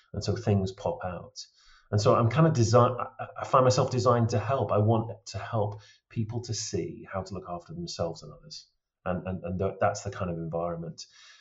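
Somewhat breathy and fairly low in pitch, a man speaks with lively intonation and big swings in loudness. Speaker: travel risk consultant. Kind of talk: interview.

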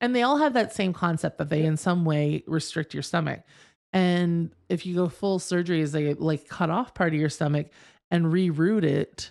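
In a very clean recording with a silent background, a woman with an unremarkable speaking voice and fairly low pitch speaks at a moderate pace with ordinary pitch variation. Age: 40s. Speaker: podcast co-host. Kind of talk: casual chat.

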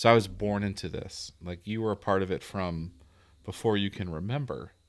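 An ordinary speaking voice with an American accent, ordinary pitch variation and a moderate pace, on a very clean recording with a silent background. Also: man. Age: 40s. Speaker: podcast host. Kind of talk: casual chat, interview.

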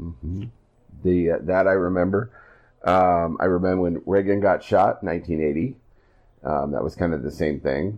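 A man with a very deep, low voice and a Midwestern US accent speaks at a moderate pace with ordinary pitch variation and long, frequent pauses. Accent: US Midwest. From Iowa. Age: 50s. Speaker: podcast host. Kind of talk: casual chat.

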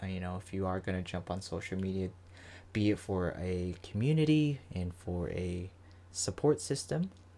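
A man speaks with an American accent at a moderate pace, his pitch very deep and low and his tone dark and mellow. The recording is very clean, with a silent background. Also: ordinary pitch variation. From Florida. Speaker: podcast host. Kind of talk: solo podcast monologue. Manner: casual, filler-heavy.

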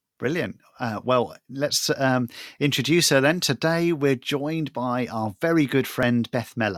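A man with an unremarkable speaking voice talks at a moderate pace in a medium pitch, with ordinary pitch variation and a dry, close sound with no echo, on a very clean recording with a silent background. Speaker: co-host, additional needs ministry director. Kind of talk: casual interview chat.

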